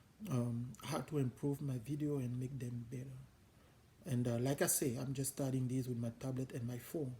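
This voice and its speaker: A man with a non-native accent speaks in a dark, mellow, somewhat breathy tone with monotone, flat intonation. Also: medium pitch for a man, moderate pace. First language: French. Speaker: home cook, cooking channel host. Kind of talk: casual channel introduction talk. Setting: home kitchen. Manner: hesitant, with fillers.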